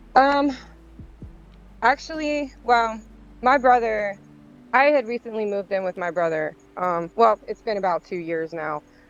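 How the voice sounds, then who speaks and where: Speech comes at a fairly slow pace over a quiet background. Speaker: gamer. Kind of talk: casual interview. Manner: loud in game.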